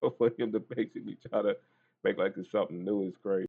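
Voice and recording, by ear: A man talks fast and fairly low, with fairly even intonation, a slightly mellow tone, a slightly husky edge and vocal fry.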